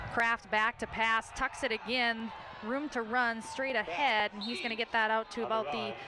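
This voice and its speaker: A woman with a normal speaking voice talks at a moderate pace in a fairly high pitch, her intonation fairly even. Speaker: play-by-play announcer. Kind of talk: live sports commentary. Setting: TV broadcast.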